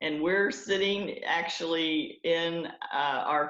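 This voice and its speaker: A woman's very deep, low voice with a Southern accent. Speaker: network marketing entrepreneur. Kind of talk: podcast interview. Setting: video call from home conference room.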